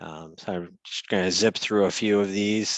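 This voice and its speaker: Against a quiet background, a man speaks at a moderate pace in a fairly low pitch with monotone, flat intonation, in a dry, close sound with no echo. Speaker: financial advisor. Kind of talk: market outlook presentation. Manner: hesitant, many fillers.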